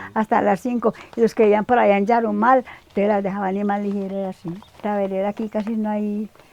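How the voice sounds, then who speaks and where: At a fairly quick pace, a woman speaks at a medium pitch with monotone, flat intonation, the sound dry and close with no echo amid noticeable background noise. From Colombia, Antioquia (Támesis rural). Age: 80s+. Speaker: elderly villager interviewee. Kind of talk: interview. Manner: halting.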